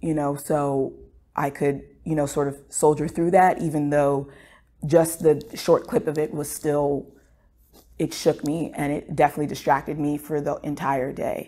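In an American accent, a woman speaks at a moderate pace with a very deep, low pitch and monotone, flat intonation. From United States. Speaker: medical student. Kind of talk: interview answer. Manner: reflective, casual. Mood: somber, emotionally shaken. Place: studio.

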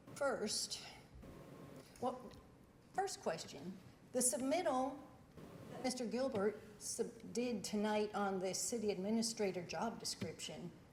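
A woman speaks at a fairly high pitch and fairly slow pace with lively intonation. Long, frequent pauses and audible room echo mark the clip. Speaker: resident speaking at public comment. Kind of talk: public comment at council meeting. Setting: city council meeting.

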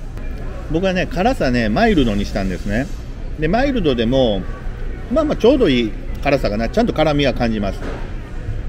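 Light background noise under a man's moderately paced speech. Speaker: travel vlogger. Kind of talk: casual vlog chat. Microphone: phone near.

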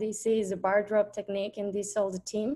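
At a moderate pace, a woman with a Spanish accent speaks in a fairly high pitch. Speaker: industrial designer and coral conservationist. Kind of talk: presentation. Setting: video call.

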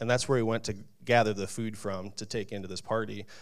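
A man speaks at a moderate pace with a fairly low pitch and monotone, flat intonation. The background is quiet. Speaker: church member; pastor. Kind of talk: testimony. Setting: church. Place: church. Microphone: handheld.

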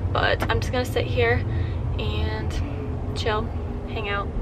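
There is noticeable background noise. A woman speaks over it at a moderate pace. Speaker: vlogger. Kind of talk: casual vlog chat. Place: car. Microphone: phone near.

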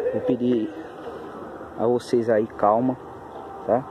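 A man speaks in a monotone with flat intonation. There is noticeable background noise behind him. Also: dry sound with no echo. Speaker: paranormal explorer youtuber; vlogger exploring. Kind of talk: vlog narration on location. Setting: outdoors in woods. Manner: speaking quietly. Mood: cautious, tense. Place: forest. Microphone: phone near.

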